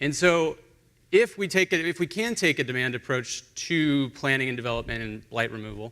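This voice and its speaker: His medium-pitched voice has a bright, sharp tone. The man speaks with lively intonation. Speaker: urban planning consultant, panelist. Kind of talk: conference panel presentation. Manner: fast.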